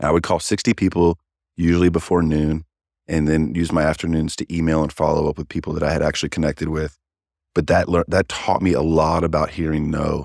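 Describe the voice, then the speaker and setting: In a very clean recording with a silent background, a man with a Kentucky accent talks at a very fast pace in a very deep, low pitch with monotone, flat intonation. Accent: Kentucky American. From Kentucky, Louisville. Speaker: sales manager. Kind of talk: interview. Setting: in person.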